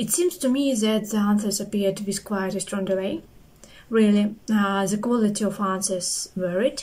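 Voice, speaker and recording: Somewhat breathy, a woman speaks at a moderate pace with a non-native accent. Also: medium pitch for a woman, fairly even intonation. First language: not English. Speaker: QA engineer, interview candidate. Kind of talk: spoken review of a service.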